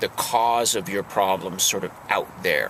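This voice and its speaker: Slow-paced male speech over noticeable background noise. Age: 50s. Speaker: house painter and singer-songwriter vlogger. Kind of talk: casual vlog monologue. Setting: parked in his truck. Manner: halting, many fillers.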